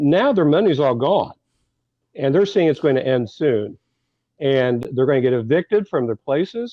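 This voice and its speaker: Speaking in a normal speaking voice, a man with a fairly high pitch keeps a very even loudness, a moderate pace, and lively intonation. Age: 60s. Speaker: political commentator. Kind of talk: radio talk show discussion.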